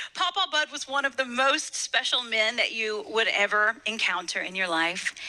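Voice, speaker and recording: A woman with a Kentucky accent speaks with very wide pitch swings. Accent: Southern US (Kentucky). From US South, Western Kentucky. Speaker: motivational speaker. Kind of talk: inspirational speech. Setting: stage with audience.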